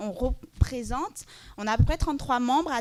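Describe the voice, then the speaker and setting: A woman is talking. Her pitch rises and falls in an ordinary way. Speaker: panelist, LGBTQ+ advocacy project manager. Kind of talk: conference panel presentation. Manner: fast.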